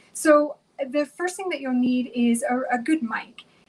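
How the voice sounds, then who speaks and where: A high-pitched woman at a fairly slow pace, with noticeable background noise. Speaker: podcast host. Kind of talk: tutorial.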